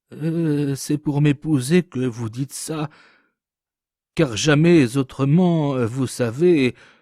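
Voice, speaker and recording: In a put-on character voice, a man with a fairly high pitch speaks shakily at a very slow pace with long, frequent pauses, in a dry, close sound with no echo. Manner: hesitant, coy.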